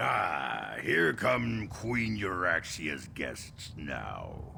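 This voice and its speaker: A man growls in a put-on character voice, very deep and low, at a very slow pace over clear background noise. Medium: video game. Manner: haughty, disdainful.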